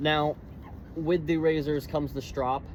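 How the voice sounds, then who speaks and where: A man speaks at a moderate pace. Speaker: living history reenactor. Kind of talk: tutorial. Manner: halting, with restarts and fillers.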